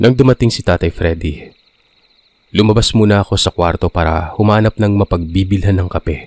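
In a dry, close sound with no echo, a man with an ordinary speaking voice and fairly low pitch talks at a fairly quick pace with ordinary pitch variation. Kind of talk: horror story narration, first-person retelling of listener accounts.

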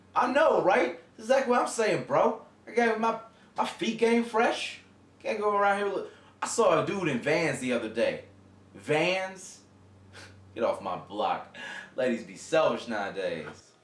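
A man speaks with long, frequent pauses. The room echo is audible. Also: moderate pace. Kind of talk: acted phone conversation, casual slang. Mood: relaxed, cocky. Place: home room. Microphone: camera far.

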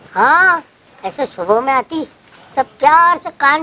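There is crowd noise in the background. A woman speaks at a very slow pace. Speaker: comedy skit actor. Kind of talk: comic storytelling in dialogue. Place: garden.

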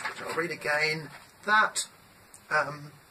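Fairly slow speech with noticeable background noise. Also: woman. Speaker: home commentator. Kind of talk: monologue reading and commenting on a text. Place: home room. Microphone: webcam.

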